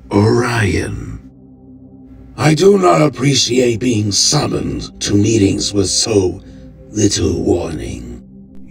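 Over clear music in the background, a man uses a put-on character voice, fairly low in pitch, at a very slow pace. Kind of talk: grave formal speech. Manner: cold, curt, defiant.

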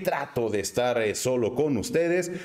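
Sing-song and lively in intonation, a man with a Guadalajara accent speaks at a medium pitch. His tone is slightly mellow, and his pace is moderate. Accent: Mexican, Guadalajara sing-song.

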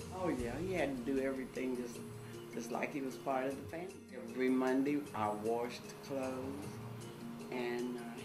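Clear music plays in the background. A woman speaks at a moderate pace. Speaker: interviewee recalling a family friend. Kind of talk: interview answer. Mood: warm, fond, reminiscing. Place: home room.

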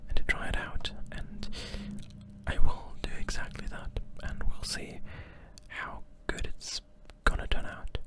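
A man's whisper at a fairly slow pace, broken by long, frequent pauses. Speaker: ASMR creator. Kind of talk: soft-spoken ASMR chat. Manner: soft-spoken close-mic ASMR voice. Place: home room. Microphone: studio mic.

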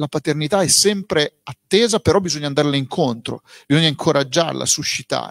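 Over a quiet background, a man talks at a moderate pace with lively intonation, the sound dry with no echo. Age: 40s. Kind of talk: book presentation interview. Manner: plain and direct. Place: shop. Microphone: handheld.

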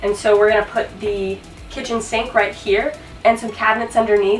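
A woman talks at a moderate pace. Faint music plays behind her, and the room echo is audible. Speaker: DIY vlogger. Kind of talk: casual vlog tour. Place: bus. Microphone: camera far.

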